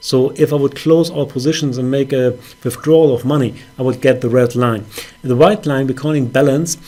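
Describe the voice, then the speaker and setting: Noticeable background noise sits behind a man talking at a fairly quick pace. His pitch is medium and his intonation fairly even. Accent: non-native. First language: not English. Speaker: forex trader. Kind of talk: trading account review with chart walkthrough. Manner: hesitant, many fillers.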